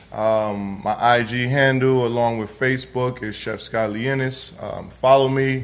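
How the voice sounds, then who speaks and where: In a New York accent, a man talks very slowly at a medium pitch, his intonation fairly even. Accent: New York (Bronx) English. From New York, the Bronx. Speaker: chef. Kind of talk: casual interview before live audience. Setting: room with standing audience. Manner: halting, many fillers.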